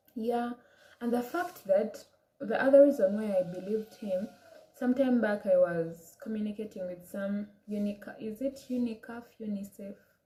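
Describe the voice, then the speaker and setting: Speaking with an African accent, a woman uses a fairly high pitch. She keeps a moderate pace and ordinary pitch variation. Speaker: vlogger. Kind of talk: personal story vlog. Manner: casual, hesitant.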